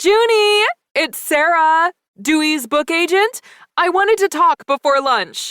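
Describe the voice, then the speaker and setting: A woman does a put-on character voice at an extremely high pitch, sing-song and fairly slow, with very even loudness and a dry, close sound with no echo. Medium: read story. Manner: bright, sing-song.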